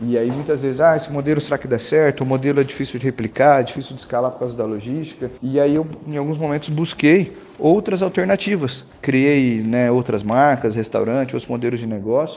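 Amid noticeable background noise, a man with a fairly high pitch talks with hardly any pauses. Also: ordinary pitch variation, fairly quick pace. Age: 30s. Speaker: ice cream business owner. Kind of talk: interview.

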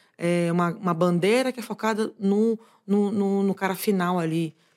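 A woman speaks at a moderate pace with a strong Bahian accent, her pitch medium and its variation ordinary. The recording is very clean, with a silent background. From Bahia interior, Brazil (Eunápolis). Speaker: e-commerce executive. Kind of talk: interview conversation.

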